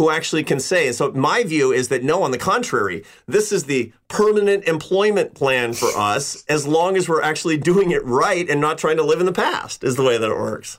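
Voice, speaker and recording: A man with an ordinary speaking voice talks at a fairly high pitch and a moderate pace. His intonation is lively and his loudness very even. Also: hardly any pauses. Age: 50s. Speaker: social scientist and author. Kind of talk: interview.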